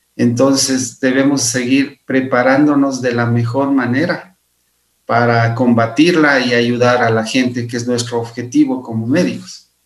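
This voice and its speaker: Medium-pitched male voice, flat and monotone, at a fairly slow pace. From Ecuador, Imbabura. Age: 50s. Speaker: physician and researcher. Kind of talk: interview.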